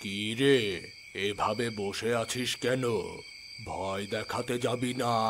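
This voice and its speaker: Using a cartoonish character voice at a medium pitch, a man speaks at a very slow pace over clear background noise. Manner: mocking, laughing.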